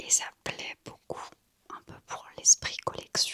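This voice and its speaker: The voice is a whisper, very slow in pace. It belongs to a woman. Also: dry, close sound with no echo. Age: 20s. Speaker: ASMR creator. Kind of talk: ASMR gift show-and-tell. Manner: whispered.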